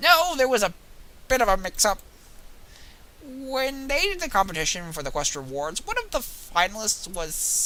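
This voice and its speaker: A woman performs a put-on character voice at a fairly high pitch. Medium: game stream. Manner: friendly, chatty.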